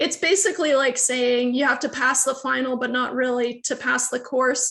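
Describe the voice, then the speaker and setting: A woman's high, bright, sharp voice, raised and projected, at a moderate pace. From Sweden. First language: Swedish. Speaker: university lecturer. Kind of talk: lecture. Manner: casual, hesitant with fillers.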